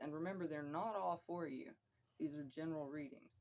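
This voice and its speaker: A woman speaks with a very deep, low pitch. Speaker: vlogger. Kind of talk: personal monologue. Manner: casual, rambling.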